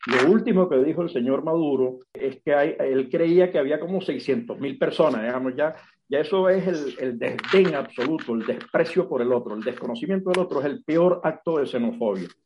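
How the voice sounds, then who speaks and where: With a normal speaking voice, a man at fairly high pitch uses lively intonation and keeps a moderate pace. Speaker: sociologist. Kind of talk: interview.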